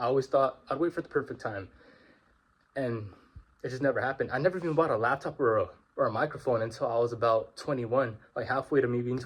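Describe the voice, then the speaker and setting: A somewhat breathy man's voice at a medium pitch and a very fast pace. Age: 20s. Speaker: vlogger. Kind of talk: casual monologue. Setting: walking around at home. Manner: informal, halting. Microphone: phone mic, no microphone.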